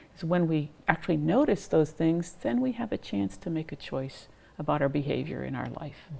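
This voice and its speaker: A woman talks at a moderate pace in a very deep, low voice, her intonation lively and her tone calm. Noticeable background noise runs beneath her. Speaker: psychiatry professor and mindfulness researcher. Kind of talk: interview.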